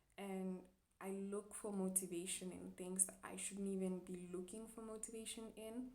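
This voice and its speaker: Amid noticeable background noise and audible room echo, a woman talks at a moderate pace and medium pitch in a monotone, flat intonation. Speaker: chiropractic student vlogger. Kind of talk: personal vlog monologue. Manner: hesitant, many fillers.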